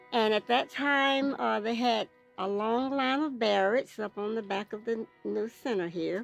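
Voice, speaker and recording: Music plays in the background as a woman with a Southern US accent speaks at a fairly slow pace. Her pitch is fairly high, with ordinary pitch variation. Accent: Southern US (Georgia). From Lithonia, Georgia, US. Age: 80s+. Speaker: former student of a segregated school. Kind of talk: oral history interview answer.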